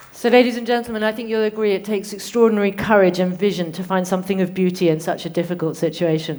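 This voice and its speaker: Audible room echo surrounds a woman with a British accent who talks at a very fast pace with hardly any pauses. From UK. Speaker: conference moderator. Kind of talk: conference moderation.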